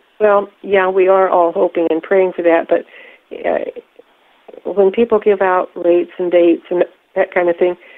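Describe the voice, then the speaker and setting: At a moderate pace, a woman of medium pitch speaks in a monotone, flat intonation with long, frequent pauses. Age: 70s. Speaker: whistleblower. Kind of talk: conference call Q&A. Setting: phone call.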